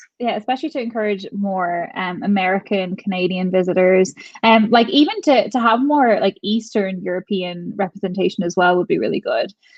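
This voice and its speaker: A woman speaks with an Irish accent. Her pace is fairly quick. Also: medium pitch for a woman, ordinary pitch variation. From Ireland. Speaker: travel vlogger. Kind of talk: casual chat. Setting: livestream.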